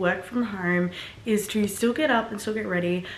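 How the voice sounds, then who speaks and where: A woman with an Australian accent at a medium pitch, fairly quick pace and ordinary pitch variation, with music in the background and audible room echo. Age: 20s. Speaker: online fitness coach and vlogger. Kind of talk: casual vlog talk. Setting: at home. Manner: quiet.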